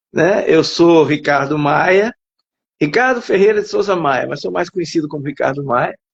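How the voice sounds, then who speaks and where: At a moderate pace, a man with a high voice speaks with lively intonation. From Alagoas, Brazil. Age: 60s. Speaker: writer and psychologist. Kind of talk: interview. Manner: halting.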